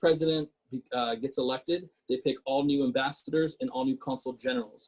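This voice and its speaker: Recorded in dry, close sound with no echo, a man talks at a moderate pace with a fairly high pitch and ordinary pitch variation. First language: Portuguese. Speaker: city council member. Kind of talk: casual talk.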